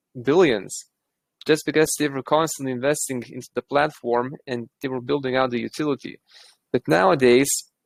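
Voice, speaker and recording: A man's fairly high voice at a moderate pace, with ordinary pitch variation and a dry, close sound with no echo. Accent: Eastern European. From Lithuania. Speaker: crypto project team member. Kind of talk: casual chat.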